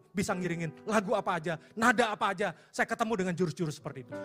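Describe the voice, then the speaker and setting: Music plays in the background as the speech rushes by at a very fast pace. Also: man. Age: 50s. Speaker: pastor. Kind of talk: sermon. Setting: church.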